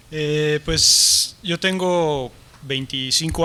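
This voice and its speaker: Over noticeable background noise, a man with a Mexican accent speaks very slowly at a fairly high pitch, his intonation fairly even. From Mexico. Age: 40s. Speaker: martial arts teacher and writer. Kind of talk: conference interview. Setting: stage with audience.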